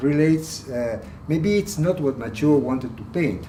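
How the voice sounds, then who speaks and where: With lively intonation, a man talks amid audible room echo. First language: Spanish. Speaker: art collector. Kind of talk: guided tour. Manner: halting.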